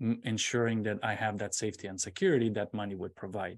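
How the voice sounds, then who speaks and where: A man speaks with a Romanian accent. His intonation stays fairly even against a quiet background. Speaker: public speaker and semiconductor engineer. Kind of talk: interview.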